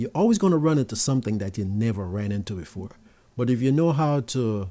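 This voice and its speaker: In a Jamaican accent, a speaker with a dark, mellow tone talks at a moderate pace with ordinary pitch variation on a very clean recording with a silent background. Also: man. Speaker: tech youtuber. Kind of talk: live stream Q&A. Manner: casual, conversational.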